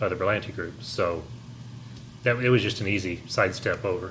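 In audible room echo, a man speaks at a very fast pace in a bright, sharp tone with fairly even intonation. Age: 40s. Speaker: podcast co-host. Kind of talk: casual chat.

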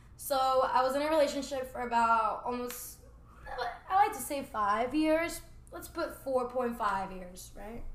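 A woman's high, lively voice at a fairly slow pace, with big swings in loudness, noticeable background noise and audible room echo. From Puerto Rico. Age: 20s. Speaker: juice bar owner. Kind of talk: casual chat. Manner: animated.

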